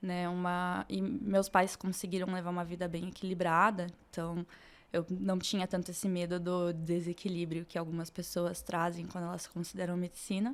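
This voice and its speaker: Speaking at a moderate pace, a woman with a fairly low pitch keeps a monotone, flat intonation. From Brazil, Curitiba. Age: 20s. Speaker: medical student. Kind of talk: podcast interview.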